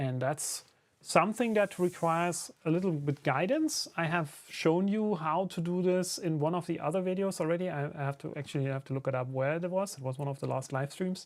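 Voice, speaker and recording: This man's voice is high-pitched, with ordinary pitch variation and a German accent. He talks at a fairly quick pace with hardly any pauses. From Germany. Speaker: 3D printing YouTuber. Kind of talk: live stream tutorial. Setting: workshop live stream. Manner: casual, hesitant with fillers.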